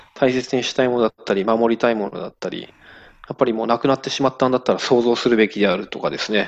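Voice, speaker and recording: Very fast speech comes from a man using fairly even intonation. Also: medium pitch for a man. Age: 40s. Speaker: sake brewery owner. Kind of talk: interview.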